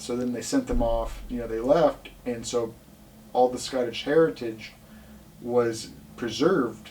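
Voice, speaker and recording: Ordinary pitch variation from a male speaker, with noticeable noise behind him. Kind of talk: casual podcast conversation.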